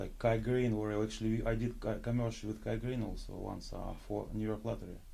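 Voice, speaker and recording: In a room with audible echo, a man with a Russian accent speaks at a fairly quick pace with hardly any pauses, his medium-pitched voice dark and mellow in tone and his intonation monotone and flat. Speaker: pro bodybuilder and actor. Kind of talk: casual interview. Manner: halting.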